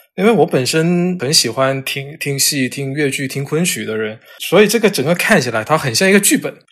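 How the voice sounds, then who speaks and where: Delivered at a fairly quick pace with lively intonation, this is a plain, everyday voice. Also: man, fairly high pitch for a man. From southern China, Cantonese-speaking area. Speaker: editor and character encoding expert. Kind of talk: interview. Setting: remote recording.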